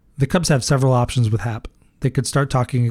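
In an American accent, a man with an ordinary speaking voice and medium pitch talks at a fairly quick pace, the sound dry and close with no echo. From US Midwest (Iowa). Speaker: sports podcast host. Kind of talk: solo podcast commentary.

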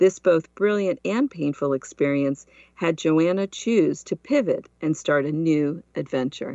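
A woman speaks in an ordinary speaking voice, fairly low in pitch, with lively intonation. Her pace is fairly slow, with hardly any pauses. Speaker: podcast host. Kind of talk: interview.

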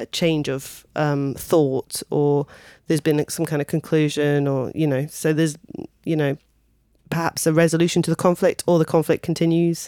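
In a southern English accent, a woman talks in a very deep, low voice with monotone, flat intonation, recorded very cleanly against a silent background. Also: dry, close sound with no echo. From Kent, southeast England. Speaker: singer, pianist and vocal coach. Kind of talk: casual interview.

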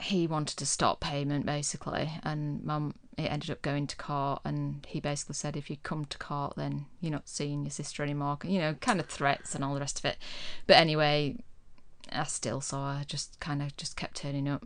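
Against a quiet background, a woman with a West Yorkshire accent speaks in a very deep, low voice at a moderate pace with fairly even intonation. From Yorkshire, Huddersfield. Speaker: podcast guest. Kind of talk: casual chat. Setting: studio. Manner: calm.

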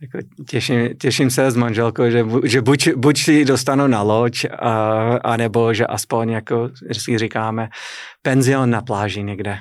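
In a very clean recording with a silent background, a man with an English accent speaks fairly slowly at a medium pitch with fairly even intonation. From US, New England (Boston area). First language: English (speaking Czech). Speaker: business owner, publisher. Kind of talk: interview.

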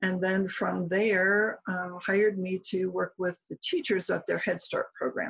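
Speaking with an American accent, a woman goes at a fairly slow pace with hardly any pauses, the sound dry and close with no echo. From US Midwest. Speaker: speech-language pathology professor. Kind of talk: interview.

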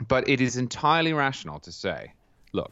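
A man with a southern English accent at a moderate pace. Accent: English (southern England). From England, Cambridge. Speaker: political writer. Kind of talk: interview.

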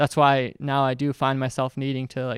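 A man with an American accent talks fairly quickly at a medium pitch in a flat monotone. The sound is dry and close with no echo, on a very clean recording with a silent background. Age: 20s. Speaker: YouTuber and video editor. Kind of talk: talk to students with Q&A. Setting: classroom with student audience. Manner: casual, filler-heavy.

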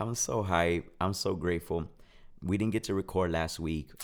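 In a very clean recording with a silent background, a man with a very deep, low voice speaks at a moderate pace using fairly even intonation. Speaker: podcast co-host. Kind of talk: casual chat. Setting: studio with mics and soundboard.

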